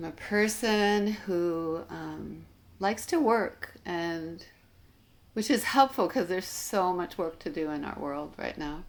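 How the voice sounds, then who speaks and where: A woman's very slow speech with big swings in loudness. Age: 60s. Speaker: educator and nurse. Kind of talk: interview. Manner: halting.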